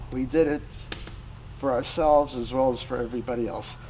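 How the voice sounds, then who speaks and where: Speaking at a medium pitch, a man keeps a moderate pace and fairly even intonation. Noticeable background noise and audible room echo surround the voice. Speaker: war veteran. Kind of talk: casual chat. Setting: round table in a hall after a club meeting.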